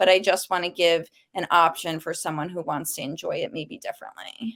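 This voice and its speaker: A woman with a New York accent talks at a moderate pace in a very clean recording with a silent background. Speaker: cookbook author. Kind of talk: podcast interview. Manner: casual, frequent 'like' fillers.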